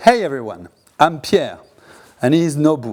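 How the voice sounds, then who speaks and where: With a French accent, a man speaks at a fairly slow pace and a fairly high pitch. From France. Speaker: podcast host. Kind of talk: monologue commentary.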